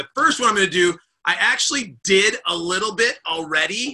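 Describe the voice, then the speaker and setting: A man speaks in a high-pitched voice with a bright, sharp tone. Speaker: leadership coach and network marketing leader. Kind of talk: weekly motivational live stream talk. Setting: live Zoom video stream. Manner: fast.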